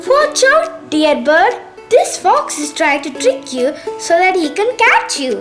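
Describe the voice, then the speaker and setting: Over clear background music, a woman puts on a husky character voice at an extremely high pitch, speaking at a fairly slow pace. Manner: warning, urgent, gentle.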